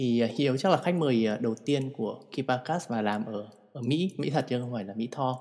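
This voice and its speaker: A man speaks at a fairly quick pace with a medium pitch and ordinary pitch variation. It is a normal speaking voice. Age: 30s. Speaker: podcast host. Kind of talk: casual chat.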